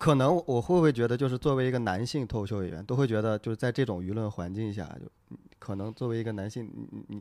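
Talking at a very fast pace with hardly any pauses, a man has a dark, mellow tone. His pitch is medium and varies in an ordinary way. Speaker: stand-up comedian. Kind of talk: casual chat about comedy.

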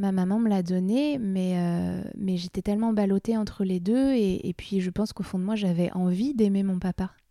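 At a moderate pace, a woman speaks in a medium pitch with a dark, mellow tone, fairly even intonation and very even loudness. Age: 30s. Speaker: burlesque dancer and comedian. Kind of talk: casual chat.

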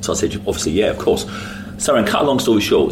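A man in a London accent, with audible room echo and noticeable background noise. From West London. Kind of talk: interview.

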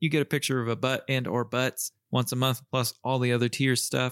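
At a fairly quick pace, a normal speaking voice comes through a very clean recording with a silent background and a dry, close sound with no echo. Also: man. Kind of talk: casual chat.

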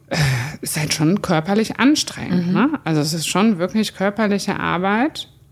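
Over noticeable background noise, a woman at a medium pitch uses lively intonation and a moderate pace. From Cologne, Germany. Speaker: brewery owner. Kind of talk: casual chat. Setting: brewpub, on location.

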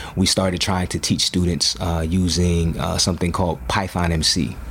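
A man with a very deep, low pitch and fairly even intonation speaks over noticeable background noise. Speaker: educator and hip hop artist. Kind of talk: casual chat.

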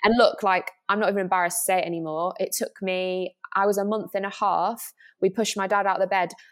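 Recorded very cleanly against a silent background, a woman talks at a very fast pace. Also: medium pitch for a woman, fairly even intonation. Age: 20s. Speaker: pop singer. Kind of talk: casual interview.

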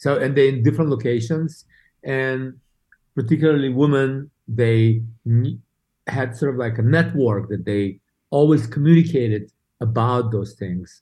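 A dark, mellow tone with a Russian accent, moderate pace and ordinary pitch variation. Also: man, medium pitch for a man. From Saint Petersburg, Russia. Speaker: beauty brand co-founder. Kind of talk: casual interview chat. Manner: halting, many repeated words.

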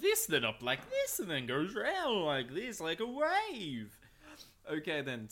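Using a put-on character voice, a man talks fairly slowly at a high pitch.

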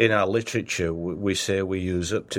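A man speaks with an American accent in a very deep, low pitch and fairly even intonation. The recording is very clean, with a silent background. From Northern England. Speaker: company founder. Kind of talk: casual interview.

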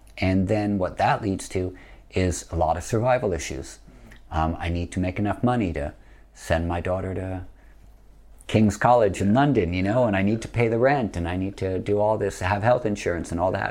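A man with a normal speaking voice and an American accent, fairly low in pitch, with ordinary pitch variation at a moderate pace. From US Northeast. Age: 50s. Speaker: yoga teacher. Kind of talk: podcast interview.

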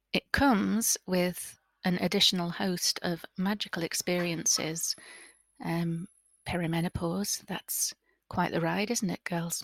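Her pitch fairly low, a woman speaks with fairly even intonation. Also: fairly slow pace, dry, close sound with no echo, very clean recording, silent background. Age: 30s. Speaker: podcast host. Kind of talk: casual monologue.

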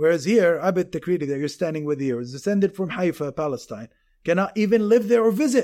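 The man's voice is high, with lively intonation and a fairly quick pace. The recording is very clean, with a silent background. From Jordan. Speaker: history professor. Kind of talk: interview.

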